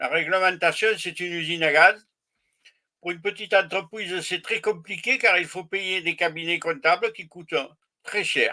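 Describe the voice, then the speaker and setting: Raising and projecting his voice, a man speaks at a moderate pace with a high pitch and a bright, sharp tone. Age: 70s. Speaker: retired small business owner. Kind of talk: casual chat. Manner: halting.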